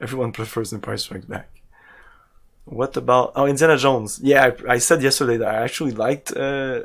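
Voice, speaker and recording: A man with a strong French Canadian accent, medium pitch and ordinary pitch variation at a fairly quick pace, in a very clean recording with a silent background. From Quebec, Canada. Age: 40s. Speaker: video game streamer. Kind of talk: live gameplay stream chat. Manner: casual, halting with repetitions.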